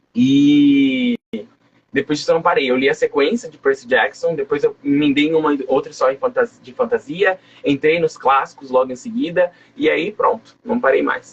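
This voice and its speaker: A man in an ordinary speaking voice, with lively intonation at a moderate pace. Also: fairly high pitch for a man. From Brazil, coastal São Paulo state (Guarujá). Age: 20s. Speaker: writer. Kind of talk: interview.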